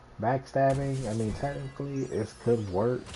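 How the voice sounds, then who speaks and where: A man talks at a moderate speed. There is music behind him. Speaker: gaming streamer. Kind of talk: live gameplay commentary. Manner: quiet at times while focused.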